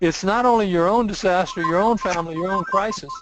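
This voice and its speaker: Here a man speaks at a high pitch and a moderate pace. His pitch variation is ordinary. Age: 60s. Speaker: insurance consultant. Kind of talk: interview.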